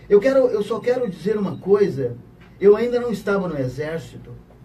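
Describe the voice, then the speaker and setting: Audible room echo surrounds a man speaking in a high pitch. His pitch swings very widely. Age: 60s. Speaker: retired army officer asking a question. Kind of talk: question from audience in radio interview. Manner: emphatic, repetitive.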